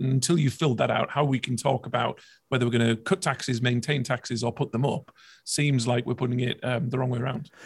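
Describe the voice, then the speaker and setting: Somewhat breathy, a man speaks at a fairly quick pace and medium pitch, with fairly even intonation. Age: 30s. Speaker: political commentator. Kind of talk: interview.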